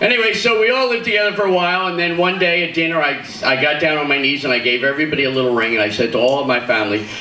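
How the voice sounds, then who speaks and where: Speaking with an East Coast American accent, a man talks at a very fast pace with lively intonation and an animated tone, amid noticeable background noise and audible room echo. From US East Coast, Philadelphia. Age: 60s. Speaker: comedian. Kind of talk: stand-up. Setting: stage with audience.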